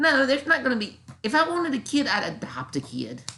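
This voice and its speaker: In a Southern US accent, a woman speaks at a moderate pace with a bright, sharp tone, vocal fry, and very wide pitch swings. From US South. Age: 40s. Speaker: YouTuber reacting to critics. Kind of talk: reaction commentary. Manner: halting.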